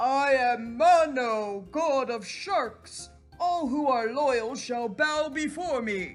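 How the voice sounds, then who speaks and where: A loud, high-pitched put-on character voice at a very slow pace, with faint music in the background. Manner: commanding, boastful.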